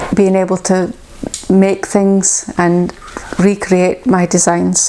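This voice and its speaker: A woman speaks in a Shetland accent at medium pitch. Noticeable background noise sits behind her. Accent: Shetland Scottish. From Shetland, Scotland. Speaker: knitwear designer. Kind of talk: casual talk to camera.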